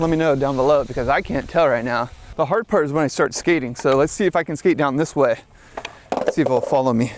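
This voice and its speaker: Someone speaks at a very fast pace against noticeable background noise. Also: man. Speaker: skateboarder and video creator. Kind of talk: vlog while skating and reviewing a drone. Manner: casual, with fillers.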